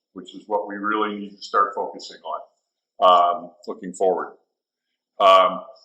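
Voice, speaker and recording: This man's loudness swings widely, and he leaves long, frequent pauses. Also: fairly slow pace. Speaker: water district manager. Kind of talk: presentation. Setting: stage with audience.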